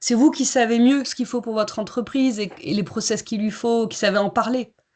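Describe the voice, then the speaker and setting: A woman with a normal speaking voice talks at a moderate pace and fairly high pitch, with ordinary pitch variation over a quiet background. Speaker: certification consultant and coach. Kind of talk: webinar presentation.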